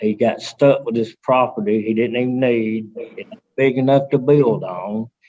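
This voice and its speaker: Speaking with an Alabama accent, a man with a medium pitch and a dark, mellow tone keeps his intonation fairly even and hardly pauses. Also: moderate pace, big swings in loudness. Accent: Southern US (Alabama). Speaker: resident speaking in favor. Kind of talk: public comment at council meeting. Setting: teleconference.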